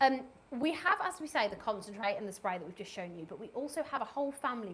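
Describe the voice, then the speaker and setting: With noticeable background noise behind her, a woman in a Birmingham accent talks at a fairly quick pace in an enthusiastic tone, her pitch swinging very widely. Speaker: cleaning product presenter. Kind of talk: live product demonstration. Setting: live stream studio. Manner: chatty, enthusiastic.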